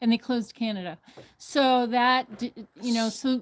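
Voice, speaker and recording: The voice sits high in pitch. It belongs to a woman. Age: 60s. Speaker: farmer's mother on vacation. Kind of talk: casual chat. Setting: live stream on vacation.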